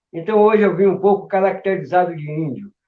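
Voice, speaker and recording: Delivered at a moderate speed, the speech keeps a fairly even intonation. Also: man. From Brazil, Salvador, Bahia. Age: 60s. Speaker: capoeira master. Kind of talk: interview. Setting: live stream.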